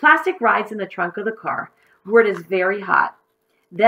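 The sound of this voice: Over a quiet background, an unforced reading voice moves with lively intonation.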